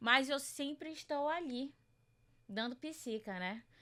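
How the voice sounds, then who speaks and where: A woman's voice with ordinary pitch variation. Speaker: journalist and researcher. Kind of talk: podcast interview.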